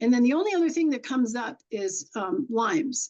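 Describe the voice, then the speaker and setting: With an American accent, a woman talks at a fairly quick pace, her high pitch making very wide swings. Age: 70s. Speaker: horse communicator. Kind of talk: podcast interview. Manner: animated.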